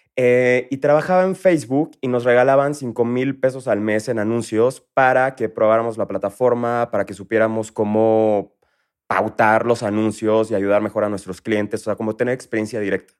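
With a Mexico City accent, a man speaks at a moderate pace and medium pitch. Pitch variation is ordinary, and the background is quiet. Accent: Mexico City (chilango). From Villahermosa, Tabasco, Mexico. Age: 30s. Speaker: entrepreneur. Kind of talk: interview.

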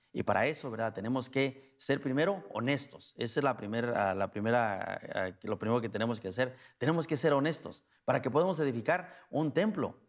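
Lively intonation from a man, medium-pitched, in an unremarkable speaking voice. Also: fairly quick pace. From Mexico, Guanajuato. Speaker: priest. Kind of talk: sermon. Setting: church.

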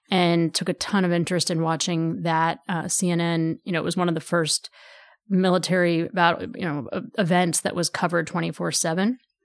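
A woman's unremarkable speaking voice with an American accent, fairly low in pitch, fairly quick and fairly even in intonation, in a dry, close sound with no echo on a very clean recording with a silent background. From Texas, Houston suburbs. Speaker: political strategist and advocacy group leader. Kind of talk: interview conversation.

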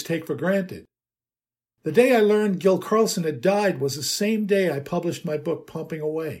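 The speaker has an American accent. The intonation is lively and the pace fairly quick. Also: man. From US Northeast, New York City (Manhattan). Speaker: podcast host and heating industry writer. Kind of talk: scripted narration.

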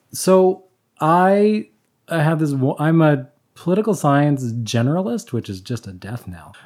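With a Canadian accent, a man speaks fairly slowly in a fairly high pitch, with very wide pitch swings and big swings in loudness. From Canada, Alberta. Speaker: political science instructor. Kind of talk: casual chat. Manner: talkative.

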